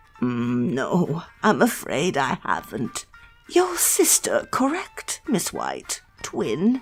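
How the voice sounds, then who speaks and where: Over faint background music, a put-on character voice at a middle pitch talks at a very slow pace. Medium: audio drama. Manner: polite, measured, old-fashioned formality.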